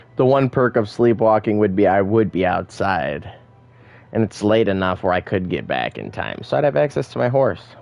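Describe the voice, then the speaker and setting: A man with an American accent speaks at a moderate pace in a fairly low pitch, his intonation lively, with music playing in the background. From Michigan. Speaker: gaming streamer. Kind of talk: live gameplay commentary. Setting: live stream.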